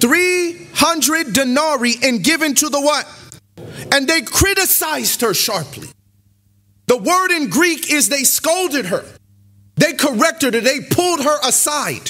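A man speaks in a raised, projected voice at an extremely high pitch, with an animated tone. His pace is fairly slow, the loudness very even and the background quiet. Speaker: preacher. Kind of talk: sermon. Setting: church; stage with audience. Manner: animated, call-and-response preacher. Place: church. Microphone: podium.

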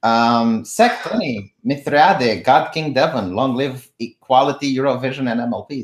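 With a Romanian accent, a man speaks at a medium pitch. He keeps a moderate pace. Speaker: political commentary streamer. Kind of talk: live stream political chat. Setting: live stream with remote guest.

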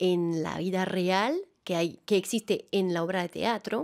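In a Venezuelan accent, a woman speaks at a fairly slow pace. The background is quiet. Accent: Latin American Spanish, Venezuelan-tinged. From France, Alps near Annecy; France. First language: French (speaking Spanish). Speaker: actress and theatre director; actress. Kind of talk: interview. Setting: studio. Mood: warm, smiling, animated. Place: studio. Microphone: studio mic.

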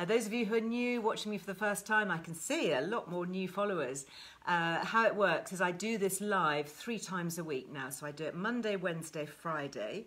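Speaking at a fairly quick pace with hardly any pauses, a woman uses lively intonation. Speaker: wellbeing host. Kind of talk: casual live stream chat. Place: home room. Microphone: phone near.

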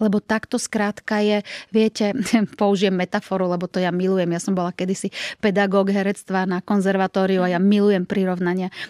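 A woman speaks at a fairly quick pace in a medium pitch, her voice dry with no echo against a quiet background. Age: 50s. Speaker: actress. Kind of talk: interview. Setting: studio. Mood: warm, reflective. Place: studio. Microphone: studio mic.

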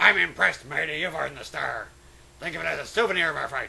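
Doing a put-on character voice, a man talks very fast in a gruff, fairly high pitch. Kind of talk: comic overacting of game text. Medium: game stream. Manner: gruff, swaggering pirate talk.

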